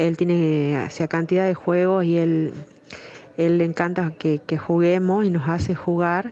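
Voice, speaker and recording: Her intonation is monotone and flat, at a fairly low pitch for a woman. She speaks at a fairly slow pace. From Salta, northern Argentina. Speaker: listener. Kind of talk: recorded voice message.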